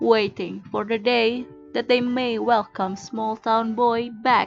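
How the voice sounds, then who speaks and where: With music playing in the background, a woman with a fairly high voice speaks at a very slow pace. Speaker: amateur narrator and hobbyist voice actor. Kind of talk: dramatic audiobook reading, storytelling narration.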